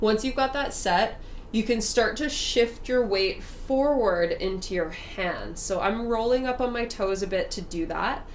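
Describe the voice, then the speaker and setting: A woman at a fairly high pitch with ordinary pitch variation, a fairly slow pace and hardly any pauses, amid noticeable background noise and audible room echo. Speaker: yoga instructor. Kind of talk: guided yoga class. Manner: slow and steady.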